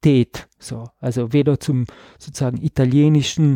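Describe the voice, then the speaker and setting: The voice has a dark, mellow tone and a flat, monotone delivery, recorded with a dry, close sound and no echo. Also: man. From South Tyrol, Ladin-speaking valley. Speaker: visual artist. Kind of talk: interview. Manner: hesitant, many fillers.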